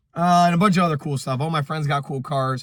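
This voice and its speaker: A man's very fast speech at a fairly high pitch with ordinary pitch variation, in a very clean recording with a silent background. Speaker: automotive YouTuber. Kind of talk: casual vlog talk to camera. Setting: in a car. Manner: casual, filler-heavy.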